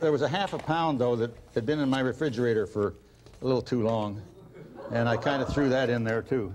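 A man speaks at a fairly quick pace with very even loudness and ordinary pitch variation. Light background noise is present. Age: 60s. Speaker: comedy cooking show co-host. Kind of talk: comedy cooking show. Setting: studio with audience. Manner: wisecracking. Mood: jokey, deadpan humor. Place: studio. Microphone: lapel.

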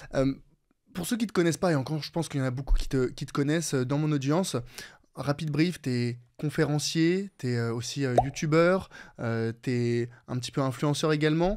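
The recording is very clean, with a silent background. A man speaks at a moderate pace in a fairly high voice with ordinary pitch variation. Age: 20s. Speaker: podcast host. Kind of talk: casual interview. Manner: hesitant, many fillers.

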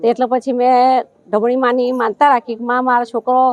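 The woman's voice is high in pitch. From Gujarat, Vadodara. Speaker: devotee. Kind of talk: testimony.

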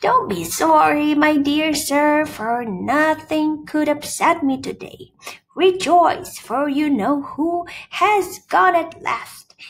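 Very slowly, a woman puts on a squeaky character voice. Her pitch is high. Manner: gleeful, exuberant.

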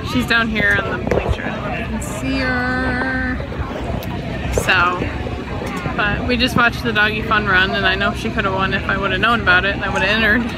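A woman talks at a moderate pace. Clear music plays behind her. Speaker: dog owner vlogger. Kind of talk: casual vlog chat. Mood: excited, happy. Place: stadium. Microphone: phone near.

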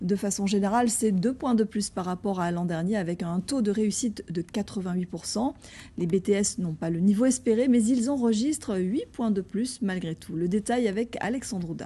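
A somewhat breathy woman at medium pitch, with ordinary pitch variation and a fairly slow pace. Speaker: news anchor. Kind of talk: news reading. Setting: studio. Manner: formal. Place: studio. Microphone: lapel.

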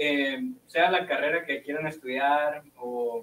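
A man with a fairly high pitch speaks amid audible room echo and light background noise. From Hermosillo, Sonora, Mexico; Sonora, Mexico. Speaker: physics student; guest. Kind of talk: casual interview. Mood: relaxed, friendly. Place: studio.

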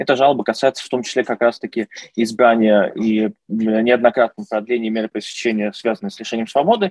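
Over a quiet background, a man talks at a fairly quick pace with ordinary pitch variation. The sound is dry with no echo. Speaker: lawyer. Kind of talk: interview answer.

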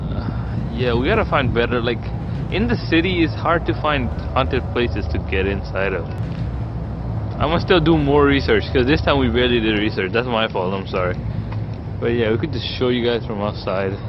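Talking at a fairly quick pace, a man is heard over noticeable background noise. The sound is dry, with no echo. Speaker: vlogger filming. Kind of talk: casual vlog chat. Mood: disappointed, joking. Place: street. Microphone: phone near.

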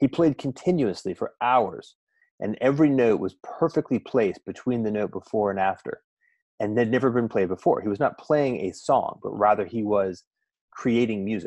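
At a moderate pace, a man speaks with ordinary pitch variation, the sound dry with no echo and the background quiet. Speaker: guest. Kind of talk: conversational storytelling. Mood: calm, reflective. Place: home room.

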